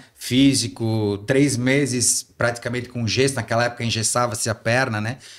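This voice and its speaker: A man at a medium pitch with ordinary pitch variation and a moderate pace, on a very clean recording with a silent background. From Santa Catarina, Brazil (Ascurra, Vale do Itajaí). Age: 40s. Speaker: former city councillor and PE teacher. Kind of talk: podcast interview. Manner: hesitant, many fillers.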